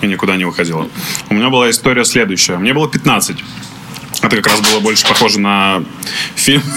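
Over noticeable background noise, a man with a fairly low voice speaks very fast between long, frequent pauses, keeping his loudness very even and his pitch variation ordinary. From Russia, Izhevsk. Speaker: podcast host. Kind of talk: casual chat.

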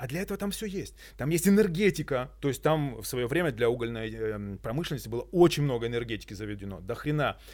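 With an energetic tone, a man speaks at a very fast pace and a medium pitch, using very wide pitch swings, on a very clean recording with a silent background. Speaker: eco-activist and entrepreneur. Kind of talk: casual interview chat. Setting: eco-loft venue.

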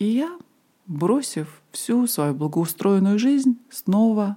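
Speaking very slowly, a woman with a somewhat breathy, dark, mellow tone and medium pitch makes very wide pitch swings. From Moscow, Russia. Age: 40s. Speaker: podcast host, ayurveda and yoga teacher. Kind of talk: personal storytelling monologue.

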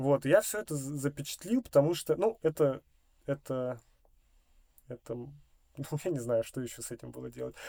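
A man with a fairly high pitch and dark, mellow tone talks at a moderate pace with lively intonation and big swings in loudness. Long, frequent pauses break his speech, and the sound is dry and close with no echo. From Russia, Novosibirsk (Akademgorodok). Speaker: electronic music producer. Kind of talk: casual chat.

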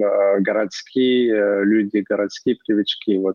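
Very slow delivery with ordinary pitch variation. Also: man. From Provence, southern France. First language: French (speaking Russian). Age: 30s. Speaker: cheesemaker. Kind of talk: casual chat. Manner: halting, with many filler sounds.

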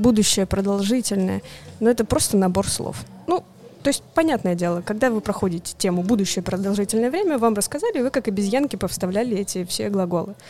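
Against noticeable background noise, the speech moves at a fairly quick pace. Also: woman. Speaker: board game publisher's international projects manager. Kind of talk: casual chat. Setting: coffee shop.

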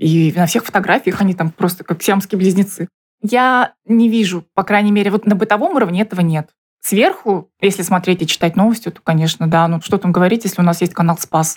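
The woman has an unremarkable speaking voice, medium in pitch with ordinary pitch variation, delivered at a fairly quick pace in a dry, close sound with no echo. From Buryatia, Russia (Ulan-Ude). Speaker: interviewee. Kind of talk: interview testimony.

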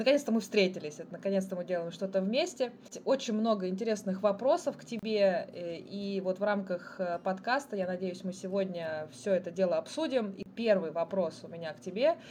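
In an unremarkable speaking voice, a woman talks at a moderate pace and medium pitch with ordinary pitch variation and big swings in loudness. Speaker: podcast host and tour guide. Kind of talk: casual interview chat.

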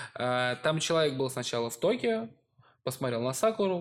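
A man with very wide pitch swings, on a very clean recording with a silent background. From Russia. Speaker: podcast co-host. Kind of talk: casual chat.

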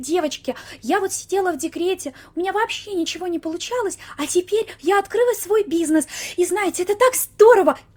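Putting on a squeaky, breathy character voice, a woman talks at a fairly quick pace with an extremely high pitch. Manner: sugary, chatty.

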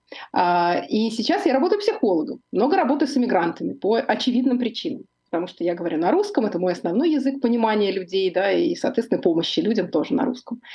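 With very wide pitch swings, a woman with a fairly high pitch speaks at a very fast pace. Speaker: psychologist and show host. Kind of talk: live interview. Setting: live stream studio.

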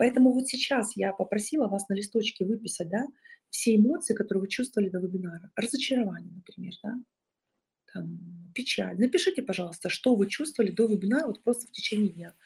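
Somewhat breathy and fairly high-pitched, a woman speaks at a very fast pace with big swings in loudness. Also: ordinary pitch variation. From southern Russia, Rostov region. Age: 30s. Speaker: psychologist and online course founder. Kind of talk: webinar presentation. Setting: live online webinar.

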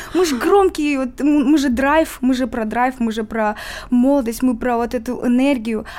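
A woman's high voice at a fairly slow pace, with ordinary pitch variation and noticeable background noise. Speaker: musician. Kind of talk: interview.

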